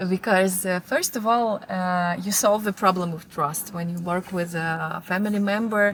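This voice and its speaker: On a very clean recording with a silent background, a woman speaks at a moderate pace with hardly any pauses. Her medium-pitched voice is somewhat breathy, with fairly even intonation. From Moldova. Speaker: fashion marketing manager. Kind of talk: interview answer.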